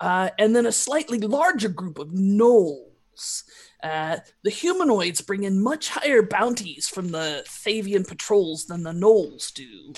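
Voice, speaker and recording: A woman's put-on character voice at medium pitch, with hardly any pauses. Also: fairly slow pace. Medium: actual play. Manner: blunt, pragmatic.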